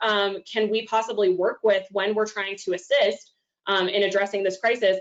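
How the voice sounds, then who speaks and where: Moderate pace with a slight Oklahoma accent. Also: woman. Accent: slight Oklahoma twang. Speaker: domestic violence outreach coordinator. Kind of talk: presentation talk. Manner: frequent fillers (um).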